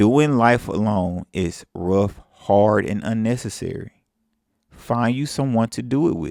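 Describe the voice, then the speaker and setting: In a Southern US accent, a man speaks at a fairly slow pace and medium pitch with ordinary pitch variation, on a very clean recording with a silent background. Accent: southern drawl. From Mississippi. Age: 30s. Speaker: self-improvement vlogger. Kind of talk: casual advice monologue.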